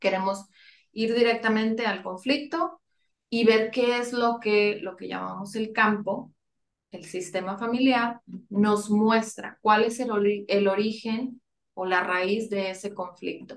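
Speaking at a very slow pace, a woman uses a fairly high pitch with ordinary pitch variation. Her loudness swings a lot. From Monterrey, northern Mexico. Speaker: family constellations facilitator. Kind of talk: interview.

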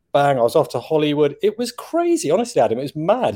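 A man with an English accent speaks at a fairly high pitch in a very clean recording over a silent background. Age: 50s. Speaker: chocolate taster and TV personality. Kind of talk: casual chat. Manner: animated.

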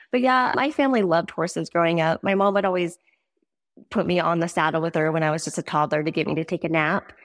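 A woman with an American accent talks at a very fast pace. Her pitch is fairly low, with ordinary variation. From Montana. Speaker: rodeo athlete's wife. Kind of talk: casual chat.

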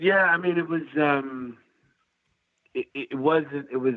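A man with a New York accent speaks with lively intonation. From US Northeast. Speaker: festival founder and agency owner. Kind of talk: casual chat. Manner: halting.

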